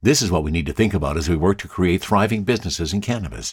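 Speech races along at a very fast pace with vocal fry and very wide pitch swings. The recording is very clean, with a silent background. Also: man. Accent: Canadian. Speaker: podcast host and cannabis enthusiast. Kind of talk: casual podcast monologue.

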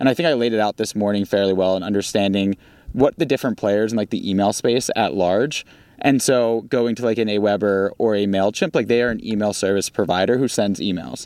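In a slight Baltimore accent, a man talks fairly quickly at a fairly low pitch with ordinary variation, his voice dry and close with no echo on a very clean recording with a silent background. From US, Baltimore. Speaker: startup founder. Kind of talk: interview conversation.

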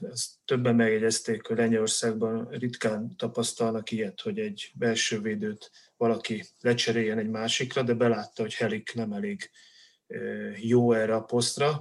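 A man speaks at a medium pitch and a moderate pace. His intonation is monotone and flat. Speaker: football-loving Polish studies expert. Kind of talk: casual chat.

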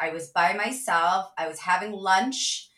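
Speaking at a fairly slow pace with an ordinary amount of pitch variation, a woman talks in a Midwestern American accent. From US Midwest, Cleveland, Ohio. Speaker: sales leader and author. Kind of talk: interview.

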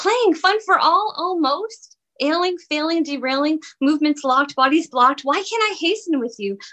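Her extremely high-pitched voice carries lively intonation as the woman talks at a moderate pace. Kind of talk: poetry reading, clipped rhythmic verse.

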